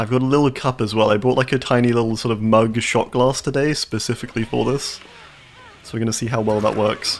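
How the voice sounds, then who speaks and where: A man with a southern English accent at a very fast pace, amid noticeable background noise. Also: medium pitch for a man. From southern England. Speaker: video game streamer. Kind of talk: live gameplay commentary. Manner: animated.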